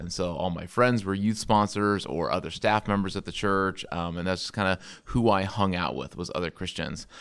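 With an American accent, a man speaks at a very deep, low pitch in a very clean recording with a silent background. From US Midwest (Indiana, later Illinois area). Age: 30s. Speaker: pastor and church planter. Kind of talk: casual interview chat.

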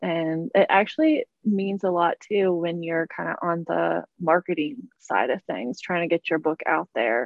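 A woman with an unremarkable speaking voice talks at a fairly slow pace with hardly any pauses, her fairly low pitch showing ordinary variation. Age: 20s. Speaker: debut young adult author. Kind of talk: interview.

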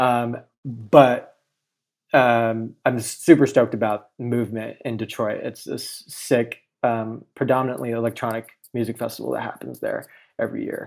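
In an American accent, the speaker talks at a moderate pace with monotone, flat intonation and big swings in loudness. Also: man, medium pitch for a man. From Southern California, Inland Empire. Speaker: graphic designer. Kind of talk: casual interview chat. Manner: frequent fillers and hesitations.

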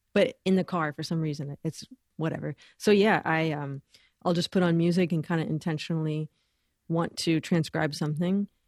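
In an unremarkable speaking voice with an American accent, a woman of fairly low pitch and ordinary pitch variation talks at a moderate pace, the sound dry and close with no echo against a quiet background. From Los Angeles, US. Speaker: bassist, singer and educator. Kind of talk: casual interview chat.

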